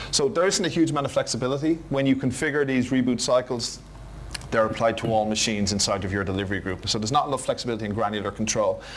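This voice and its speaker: A man with an Irish accent speaks at a very fast pace and medium pitch with ordinary pitch variation. Noticeable background noise and audible room echo fill the recording. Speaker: IT conference presenter. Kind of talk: technical conference talk.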